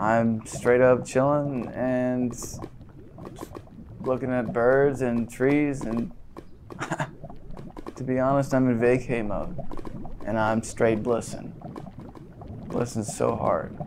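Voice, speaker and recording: Over clear background noise, a man in a put-on character voice drawls at a very slow pace with long, frequent pauses, a relaxed tone and medium pitch. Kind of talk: deadpan comedy sketch. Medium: comedy sketch. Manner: relaxed, drawling, slangy.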